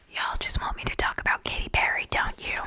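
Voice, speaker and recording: Noticeable background noise sits under a woman's whispering. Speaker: ASMR creator and comedy writer. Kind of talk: whispered late-night comedy news monologue. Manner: whispered, soft, comedic delivery.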